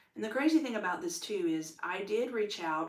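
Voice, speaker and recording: A woman with an American accent speaks at a fairly quick pace and ordinary pitch variation, with audible room echo and noticeable background noise. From United States. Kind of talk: personal testimony monologue. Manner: loud when excited; animated, many fillers.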